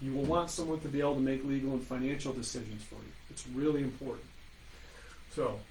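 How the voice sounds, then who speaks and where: A man at medium pitch, very fast and monotone with flat intonation, big swings in loudness and audible room echo. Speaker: estate planning attorney. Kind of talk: webinar presentation. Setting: online webinar.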